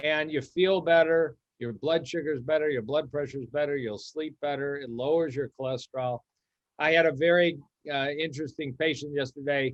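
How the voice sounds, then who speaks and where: Here a man with an American accent speaks at a fairly high pitch and a moderate pace. His intonation is fairly even. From US Midwest, Detroit. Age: 60s. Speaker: cardiologist. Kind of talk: interview conversation.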